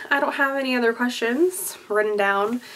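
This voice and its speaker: High female voice against noticeable background noise. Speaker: YouTube vlogger and singer. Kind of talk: casual chat.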